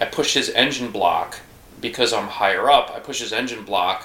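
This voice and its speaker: There is noticeable background noise behind this man. His pitch variation is ordinary. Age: 40s. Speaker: podcast co-host. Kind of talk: casual chat.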